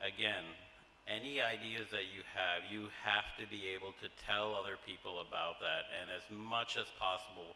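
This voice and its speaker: Noticeable background noise behind a man with an American accent, talking at a moderate pace. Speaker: college trustee. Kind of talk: welcome speech to new students. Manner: hesitant with many fillers.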